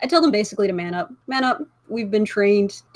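Someone is reading aloud. They use a natural voice.

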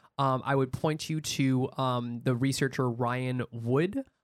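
Fairly even intonation in an unremarkable speaking voice from a man. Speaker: podcast host. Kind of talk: casual chat. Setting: studio.

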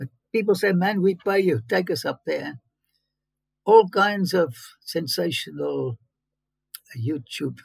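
A high-pitched man with a South African accent, very wide pitch swings and a fairly slow pace, recorded dry and close with no echo. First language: Afrikaans. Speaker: biblical archaeologist. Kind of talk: interview. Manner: animated.

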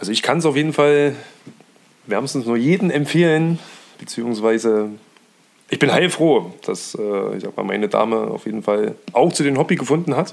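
Over noticeable background noise, a man speaks at a moderate pace with lively intonation and long, frequent pauses. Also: medium pitch for a man. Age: 30s. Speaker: hobby angler. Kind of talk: casual chat. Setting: friends' living room.

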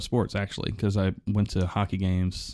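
A man speaking at a fairly quick clip, on a very clean recording with a silent background. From Oklahoma, moved to Pittsburgh in junior high. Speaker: podcast host and sound technician. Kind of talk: casual interview chat. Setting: studio. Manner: hesitant, many false starts.

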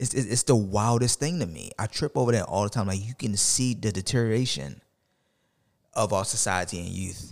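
An ordinary speaking voice, a man with an American accent talks at a fairly quick pace and fairly low pitch on a very clean recording with a silent background. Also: lively intonation. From US, Baltimore. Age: 30s. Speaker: podcaster. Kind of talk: casual chat.

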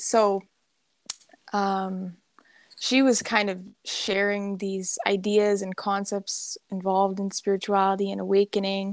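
Using a normal speaking voice, a woman talks at a medium pitch and a fairly slow pace. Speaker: hypnosis practitioner. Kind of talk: casual interview chat. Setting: remote call.

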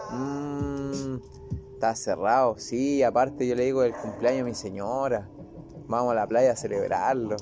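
Fairly slow in pace, a man's speech is accompanied by noticeable background noise. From Chile. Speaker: agronomist and lab manager. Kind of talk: casual chat.

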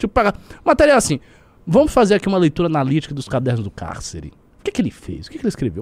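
A man's voice with very wide pitch swings, dry and close with no echo. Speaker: political commentator. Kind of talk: casual political chat. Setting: live stream.

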